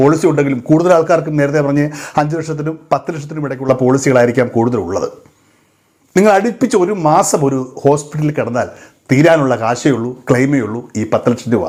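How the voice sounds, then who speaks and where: A man speaks in a plain, everyday voice. His pitch is fairly high and his intonation lively. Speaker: social media commentator. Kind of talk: monologue to camera.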